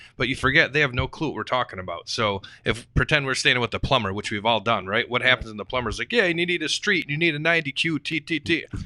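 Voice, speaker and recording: A man rattles along at a very fast pace with lively intonation and a bright, sharp tone, in a dry, close sound with no echo on a very clean recording with a silent background. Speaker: real estate investor. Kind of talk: podcast panel discussion. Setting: studio. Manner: animated.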